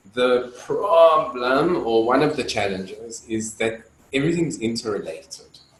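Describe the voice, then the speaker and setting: A man's medium-pitched voice over noticeable background noise. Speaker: dance facilitator. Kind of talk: lecture. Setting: video call. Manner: loud; halting, many fillers.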